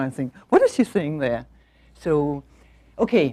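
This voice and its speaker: In a Danish accent, a woman speaks at a moderate pace with a dark, mellow tone. The background is quiet. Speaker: management consultant and visiting professor. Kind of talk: lecture. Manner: halting.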